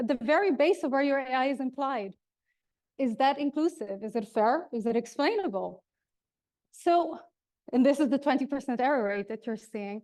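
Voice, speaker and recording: A woman with a slight Dutch accent speaks at a moderate pace in a high pitch. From Netherlands. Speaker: keynote speaker on HR technology. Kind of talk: keynote speech. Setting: stage with audience.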